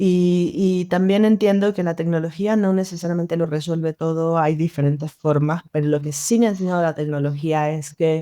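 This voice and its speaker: A woman with an unremarkable speaking voice, fairly low pitch and fairly even intonation, at a moderate pace with hardly any pauses. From Venezuela, Mérida. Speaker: designer. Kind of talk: podcast interview.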